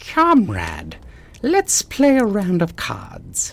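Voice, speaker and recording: A put-on character voice at fairly high pitch and a very slow pace. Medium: read story.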